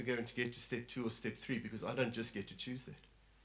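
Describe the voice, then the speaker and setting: Audible room echo surrounds the voice. A man speaks at a very fast pace. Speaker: lay preacher. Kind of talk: sermon. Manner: animated.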